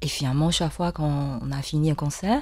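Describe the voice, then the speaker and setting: A woman with a Chinese accent speaks at a very deep, low pitch in a dark, mellow tone with fairly even intonation. The recording is very clean with a silent background. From Taiwan. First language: Mandarin Chinese (speaking French). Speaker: yangqin musician. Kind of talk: interview. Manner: halting, many hesitations.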